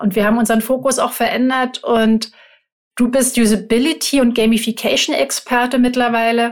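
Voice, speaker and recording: A woman talks at a moderate pace in a normal speaking voice. Her pitch sits fairly high. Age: 50s. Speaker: podcast co-host, advertising agency owner. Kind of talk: casual chat.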